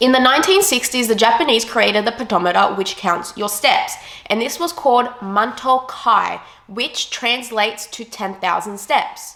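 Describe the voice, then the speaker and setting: A woman in an Australian accent, fairly high-pitched, at a moderate pace with lively intonation, over noticeable background noise. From Australia, Sydney. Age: 20s. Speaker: fitness vlogger. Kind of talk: casual explainer vlog.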